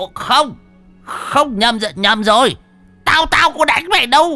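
A put-on character voice drawls at a very slow pace as faint music plays in the background. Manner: stammering, frightened.

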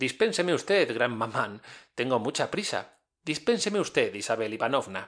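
The speaker is reading aloud in a natural voice. The background is quiet.

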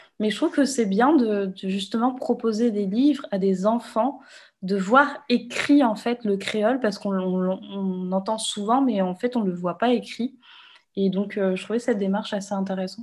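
At a moderate tempo, the speech carries a somewhat breathy quality and ordinary variation in pitch. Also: woman, fairly high pitch for a woman. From Réunion. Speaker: podcast host. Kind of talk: interview.

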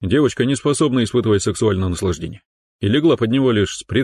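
The background stays quiet. A speaker reads aloud in a natural voice.

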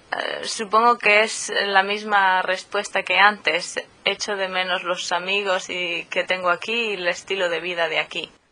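The delivery is monotone and flat, fairly slow, with hardly any pauses. Noticeable background noise runs underneath. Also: woman, medium pitch for a woman. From Murcia, southeastern Spain. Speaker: PhD student in fisheries biology. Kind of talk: interview. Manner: hesitant, many fillers.

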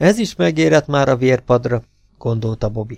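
Someone is reading aloud in a natural voice.

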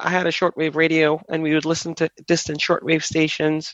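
The sound is dry and close with no echo over a quiet background. A woman speaks in a very deep, low pitch. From Trinidad. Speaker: ham radio operator and club director. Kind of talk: interview.

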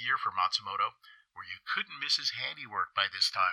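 The sound is dry and close with no echo as a man talks. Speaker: author and event founder. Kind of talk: recorded tribute reading.

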